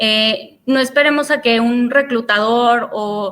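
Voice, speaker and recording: A bright, sharp tone in a Mexican accent with ordinary pitch variation. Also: woman. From Mexico. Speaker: career speaker. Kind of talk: webinar talk. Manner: hesitant, many fillers.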